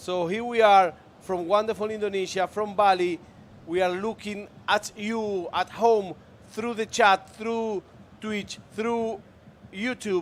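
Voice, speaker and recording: The speaker has a Spanish accent. The pace is very slow. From Argentina. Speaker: esports commentator. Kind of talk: live commentary.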